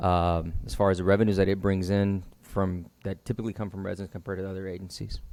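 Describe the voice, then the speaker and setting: A man's very deep, low, monotone and flat voice at a very fast pace with hardly any pauses, on a very clean recording with a silent background. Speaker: city finance staff presenting budget. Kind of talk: budget presentation at council meeting. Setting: city council meeting.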